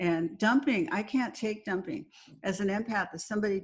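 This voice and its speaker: Her American accent comes through as a woman talks at a moderate pace and a medium pitch. Her voice is somewhat breathy, over a quiet background. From Southern California. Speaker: psychiatrist and author. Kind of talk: interview.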